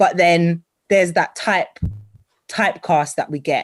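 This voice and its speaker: A woman at a moderate pace with a British accent. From Britain. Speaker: TV and radio presenter, voice-over artist. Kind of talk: interview answer. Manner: bubbly, energetic.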